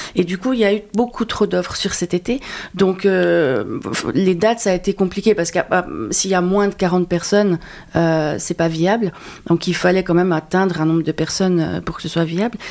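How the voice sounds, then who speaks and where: Speaking at a moderate pace, a woman uses a normal speaking voice with medium pitch and ordinary pitch variation. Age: 40s. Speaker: talent agent. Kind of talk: interview.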